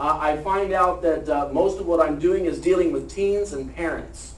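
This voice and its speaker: A man with an American accent talks at a fairly quick pace amid noticeable background noise and audible room echo. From Ohio. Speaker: lobbyist and ministry speaker. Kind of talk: testimony; talk to an audience. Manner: fast.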